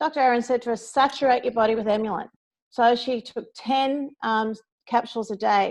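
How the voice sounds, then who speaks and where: A woman speaks at a moderate pace with an Australian accent. Her pitch is high, and the background is quiet. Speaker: network marketing distributor. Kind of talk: testimony. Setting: phone call. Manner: animated.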